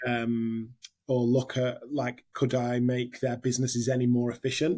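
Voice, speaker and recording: In a northern English accent, a dark, mellow voice moves at a moderate pace with monotone, flat intonation and very even loudness. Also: man, medium pitch for a man. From northern England. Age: 30s. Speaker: hospitality general manager. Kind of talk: interview. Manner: hesitant, many fillers.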